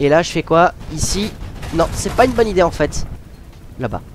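Long, frequent pauses break up a man's high-pitched, lively speech at a moderate pace. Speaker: gamer. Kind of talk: casual gameplay commentary. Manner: informal, hesitant, with swearing.

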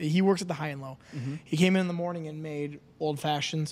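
The speaker is a man. He keeps a fairly even intonation. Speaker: podcast host. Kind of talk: casual podcast conversation. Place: studio. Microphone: studio mic.

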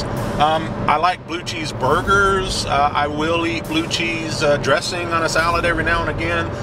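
A man at a moderate pace with ordinary pitch variation, dry sound with no echo, and music in the background. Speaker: hobby channel vlogger. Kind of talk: casual vlog chat. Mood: relaxed, joking. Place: car. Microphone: camera far.

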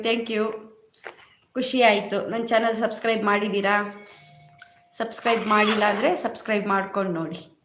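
Monotone, flat intonation amid audible room echo. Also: woman. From Karnataka, Chikmagalur district (Kudremukh). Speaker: YouTuber. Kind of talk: live stream chat. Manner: casual, conversational.

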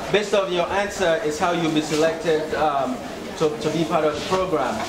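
The background noise is loud. The pace is fairly quick. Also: man. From Sierra Leone (Freetown). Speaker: nonprofit founder and video blogger. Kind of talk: vlog voiceover commentary. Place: classroom. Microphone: camera far.

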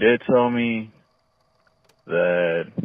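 The voice has ordinary pitch variation, with a dry sound, no echo and a quiet background. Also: man. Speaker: caller. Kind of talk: personal confession on voicemail. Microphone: phone line.

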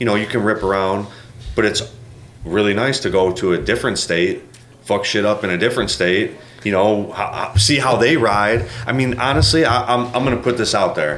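Speaking with an American accent, the voice holds a moderate pace, ordinary pitch variation, and very even loudness. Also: man, fairly low pitch for a man. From US Midwest. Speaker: custom motorcycle builder. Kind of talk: casual chat.

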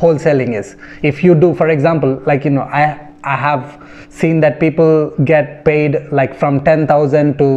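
Here a man talks at a moderate pace with fairly even intonation. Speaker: real estate agent vlogger. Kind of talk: casual explainer vlog. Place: home room. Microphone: phone near.

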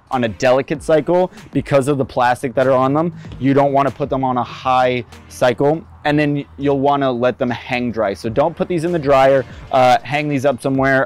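Over faint music in the background, a man speaks at a moderate pace with ordinary pitch variation in dry sound with no echo. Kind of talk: tutorial.

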